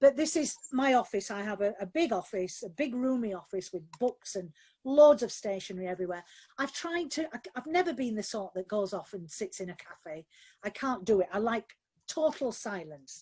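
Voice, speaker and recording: With a Yorkshire accent, a woman speaks at a moderate pace with a fairly high pitch and a dark, mellow tone. Her pitch swings very widely. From Yorkshire, Barnsley. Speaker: novelist. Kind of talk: live webinar Q&A. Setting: video call from home office.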